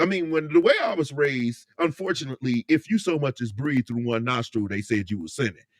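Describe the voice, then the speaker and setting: With an American accent, a man at medium pitch speaks in a normal speaking voice with lively intonation, the sound dry and close with no echo. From Indiana, US Midwest. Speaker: live streamer. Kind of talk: casual live stream chat.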